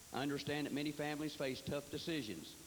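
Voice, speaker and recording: A man with a Tennessee accent talks at a fairly quick pace. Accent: Southern US, Tennessee. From Tennessee, Fentress County. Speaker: political candidate. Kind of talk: campaign speech. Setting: candidate forum.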